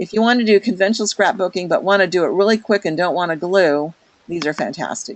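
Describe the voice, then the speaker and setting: The woman has an unremarkable speaking voice at a medium pitch. Her pace is fairly quick, with ordinary pitch variation. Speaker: product consultant leading a training webinar. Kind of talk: online product walkthrough to a group. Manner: casual with many fillers.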